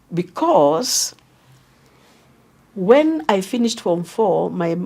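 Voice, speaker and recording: Medium-pitched female speech carrying a dark, mellow tone. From Kenya, Ngong area. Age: 80s+. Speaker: retired teacher and former electoral commissioner. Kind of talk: interview, life story.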